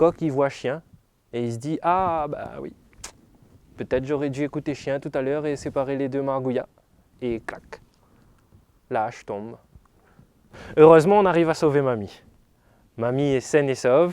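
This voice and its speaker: A man speaks at a moderate pace with long, frequent pauses. His fairly high pitch has ordinary variation. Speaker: storyteller. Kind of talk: sleep story told aloud. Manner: storytelling, lively, conversational.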